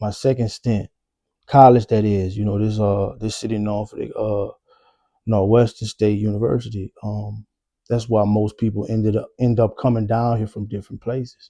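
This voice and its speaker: In a dry, close sound with no echo, a man with a fairly low pitch speaks at a moderate pace in a monotone, flat intonation over a quiet background. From New Orleans, Louisiana. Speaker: vlogger telling life story. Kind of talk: personal storytelling monologue. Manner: casual, halting with fillers.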